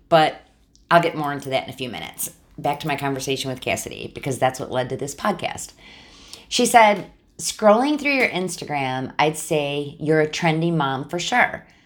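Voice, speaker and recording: Her pitch very deep and low, a woman speaks in an animated tone with lively intonation at a moderate pace. Her loudness swings widely. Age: 50s. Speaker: podcast host and boutique owner. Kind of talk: casual monologue.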